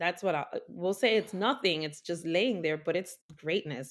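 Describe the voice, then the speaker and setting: A woman speaks in a plain, everyday voice, fairly low in pitch with ordinary pitch variation. The recording is very clean, with a silent background. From New York City, Washington Heights. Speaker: doula and Reiki practitioner. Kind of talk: casual interview.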